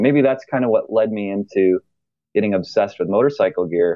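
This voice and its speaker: A man with an American accent has an ordinary speaking voice, talking at a moderate pace and medium pitch with lively intonation. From US Midwest, Michigan (Grand Rapids area). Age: 30s. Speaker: company founder. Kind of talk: interview.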